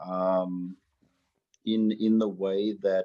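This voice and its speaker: The man's voice is fairly low with a dark, mellow tone. The sound is dry and close with no echo. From South Africa, Cape Town. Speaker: storyteller and artist. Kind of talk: group discussion. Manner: halting.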